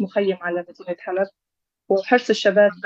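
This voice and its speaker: A woman at a medium pitch speaks with monotone, flat intonation in a dry, close sound with no echo. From Syria, Aleppo. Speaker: former local council head. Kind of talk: interview. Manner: halting.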